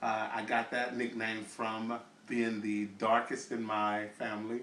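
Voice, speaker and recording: With audible room echo, a man delivers his words at a medium pitch in a monotone, flat intonation. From US South, Little Rock, Arkansas. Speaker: interviewee telling life story. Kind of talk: oral history testimony. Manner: halting, many fillers.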